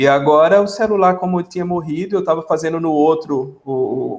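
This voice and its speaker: A man with a Pernambuco accent speaks at a moderate pace. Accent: Pernambuco (northeastern Brazilian). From Brazil, Pernambuco interior (Salgueiro). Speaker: biomedical scientist, academic. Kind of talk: casual podcast interview. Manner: hesitant, repeats words.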